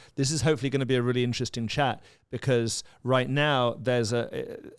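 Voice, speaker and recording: With a London accent, the speaker moves at a fairly quick pace with ordinary pitch variation on a very clean recording with a silent background. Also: man. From London, England. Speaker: podcast host, real estate broker. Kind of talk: podcast interview.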